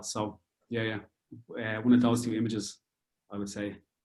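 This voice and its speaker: In a Dublin accent, a man talks at a medium pitch with monotone, flat intonation. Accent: Irish (Dublin). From Dublin, Ireland. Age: 30s. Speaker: amateur astrophotographer. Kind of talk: interview answer.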